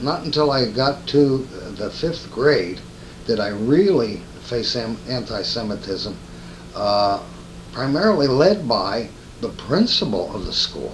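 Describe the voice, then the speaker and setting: Long, frequent pauses break up a man's fairly slow speech in a Northeast Pennsylvania accent. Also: medium pitch for a man, lively intonation. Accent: Northeastern Pennsylvania American English. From Stroudsburg, Pennsylvania. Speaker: retired car dealer. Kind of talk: oral history interview answer.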